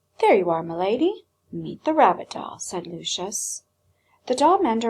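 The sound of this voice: The speaker has an unforced reading voice, heard over a quiet background.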